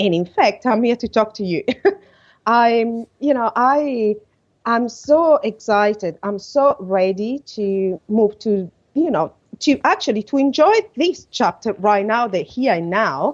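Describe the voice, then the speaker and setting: In an Italian accent, a woman speaks fairly slowly, her fairly high pitch moving in lively intonation. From Italy. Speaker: podcast guest, coach. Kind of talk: podcast interview. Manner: halting.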